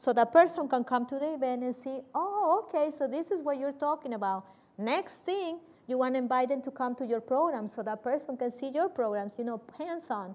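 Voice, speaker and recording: Speaking in a Spanish accent, a woman uses a high pitch and lively intonation. She keeps a moderate pace. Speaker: nonprofit executive director. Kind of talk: panel discussion.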